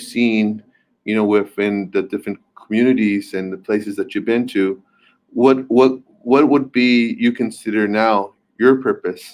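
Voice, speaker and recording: A man with an American accent at a fairly slow pace, his intonation fairly even. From US, born and raised here, Quechua heritage. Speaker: community leader and policy consultant. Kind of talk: panel Q&A remarks. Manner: halting, many fillers and repetitions.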